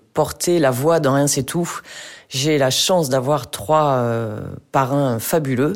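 A woman's very deep, low voice at a very slow pace, with ordinary pitch variation and very even loudness. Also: very clean recording, silent background. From rural France. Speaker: charity founder. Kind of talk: interview.

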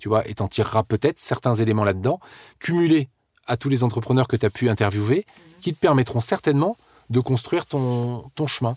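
In a very clean recording with a silent background, a man talks at a fairly quick pace with medium pitch and lively intonation. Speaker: entrepreneur. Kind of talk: interview. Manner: animated.

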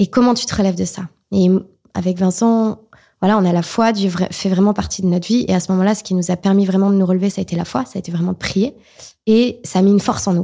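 A woman's medium-pitched voice, dark and mellow in tone, at a very fast pace. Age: 20s. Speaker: association founder and mother of a child with Down syndrome. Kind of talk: testimony. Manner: animated.

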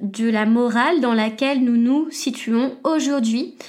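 Very slowly, a woman talks in a high voice with ordinary pitch variation. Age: 20s. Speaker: podcast host. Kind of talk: solo educational monologue.

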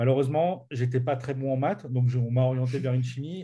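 A man is heard here, somewhat breathy. His tone is dark and mellow. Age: 40s. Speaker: business coach. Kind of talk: interview. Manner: halting.

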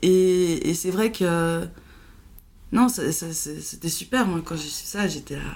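Pausing long and often, a woman with a fairly low pitch talks at a very slow pace with ordinary pitch variation. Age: 30s. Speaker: podcast guest sharing mental illness experience. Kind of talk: casual chat. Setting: at her home. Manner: halting.

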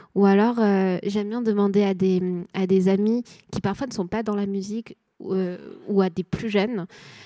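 A woman speaks at a moderate pace and a medium pitch in a dark, mellow tone with monotone, flat intonation. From Nantes, France. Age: 20s. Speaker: artist manager. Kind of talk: panel discussion. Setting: stage with audience.

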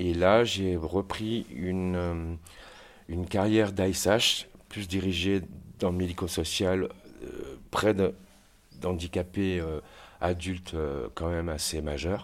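Very slow speech with long, frequent pauses and fairly even intonation comes through on a very clean recording with a silent background. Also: man, very deep, low pitch for a man. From France, Saint-Étienne. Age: 50s. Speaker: care worker. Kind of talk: testimony. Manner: halting.

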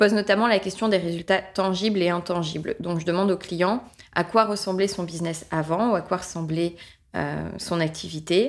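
At a moderate pace, a woman with a fairly low pitch and fairly even intonation speaks in an unremarkable speaking voice. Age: 30s. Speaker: business trainer and author. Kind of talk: casual interview.

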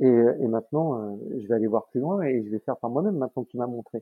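With lively intonation, the man keeps to a moderate pace. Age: 30s. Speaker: sales professional. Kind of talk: interview. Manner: hesitant, many fillers.

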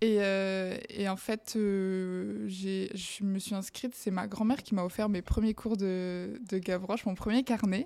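A woman's dark, mellow, medium-pitched voice, very slow yet with hardly any pauses, its intonation fairly even. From southwest France, Bayonne. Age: 20s. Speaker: fashion stylist, podcast guest. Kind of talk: testimony interview.

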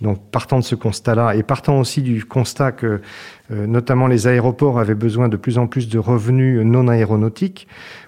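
A man talks at a medium pitch with fairly even intonation, keeping a moderate pace. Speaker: business executive. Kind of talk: interview. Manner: hesitant, with frequent repetitions.

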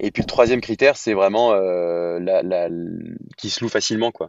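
A man talks at a moderate pace. His pitch is fairly low and varies in an ordinary way. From France, Lyon. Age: 30s. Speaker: real estate entrepreneur. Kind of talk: podcast interview. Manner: hesitant, many fillers.

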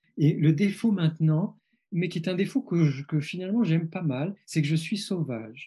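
The dark, mellow tone moves at a fairly slow pace with ordinary pitch variation. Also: man. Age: 50s. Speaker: psychologist and author. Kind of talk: interview. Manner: halting; reflective.

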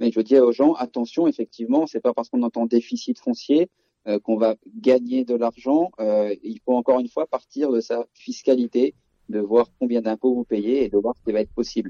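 An ordinary speaking voice, fairly even intonation, moderate pace. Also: man, medium pitch for a man. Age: 30s. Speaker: real estate agent and investor. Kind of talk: interview.

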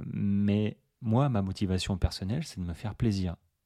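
A man's fairly low voice in a dark, mellow tone, dry and close with no echo, in a very clean recording with a silent background. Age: 40s. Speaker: running coach and podcast host. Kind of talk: solo podcast monologue. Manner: casual, many filler hesitations.

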